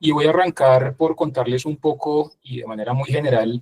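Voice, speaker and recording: A man with a Bogotá accent speaks at a medium pitch with ordinary pitch variation, his voice somewhat breathy, in a dry, close recording with no echo. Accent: Bogotá (rolo). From Bogotá, Colombia. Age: 40s. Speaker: business executive, invited speaker. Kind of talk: interview-style talk.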